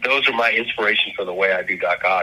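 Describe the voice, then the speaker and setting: A man races through his words at a very fast pace amid noticeable background noise. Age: 60s. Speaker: comic book artist. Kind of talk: casual interview chat. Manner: halting, repeats words.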